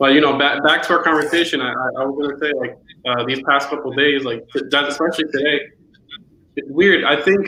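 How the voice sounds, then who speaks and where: A man speaks at a fairly quick pace, his fairly high pitch held in a fairly even intonation. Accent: Spanish. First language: Spanish. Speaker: friend and amateur beat maker. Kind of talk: casual chat. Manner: halting, repeats words.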